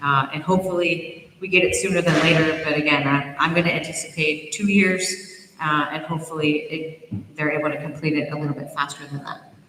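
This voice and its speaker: Talking at a fairly quick pace with hardly any pauses, the voice comes through over noticeable background noise. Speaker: environmental agency official. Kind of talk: public presentation. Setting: town hall meeting in a gym. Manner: fast.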